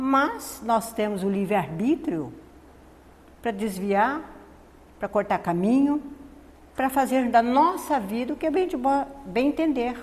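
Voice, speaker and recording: A woman with a high pitch speaks at a very slow pace, leaving long, frequent pauses. Her intonation is lively. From Northeast Brazil. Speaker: spiritist lecturer. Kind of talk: spiritist lecture. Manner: soft-spoken.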